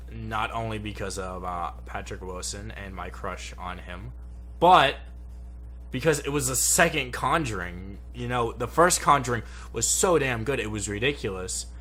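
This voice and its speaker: A man speaks with big swings in loudness and audible room echo. Music plays in the background. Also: moderate pace. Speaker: YouTube movie reviewer. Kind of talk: casual movie review chat. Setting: home studio.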